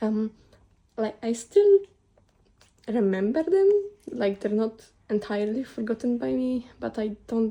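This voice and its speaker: A woman's fairly high pitch and dark, mellow tone at a fairly slow pace. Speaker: artist sharing sketchbook. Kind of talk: casual chat. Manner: halting; sounds close to tears.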